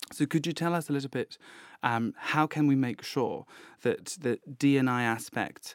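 This man has an unremarkable speaking voice, talking at a moderate pace with ordinary pitch variation. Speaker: graduate research student. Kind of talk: interview questioning. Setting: studio.

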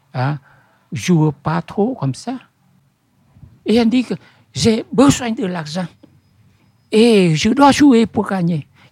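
A man with a Vietnamese accent talks at a very slow pace in a high voice, with very wide pitch swings and long, frequent pauses. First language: Vietnamese (speaking French). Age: old. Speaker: bookseller. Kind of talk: interview. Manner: halting.

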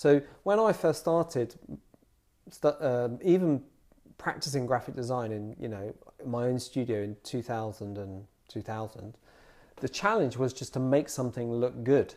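A man with a southern English accent at a moderate pace, with long, frequent pauses. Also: medium pitch for a man, ordinary pitch variation. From southern England (Bedfordshire, Dunstable). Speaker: graphic designer. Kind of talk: interview conversation. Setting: designer's studio. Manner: hesitant, many fillers.

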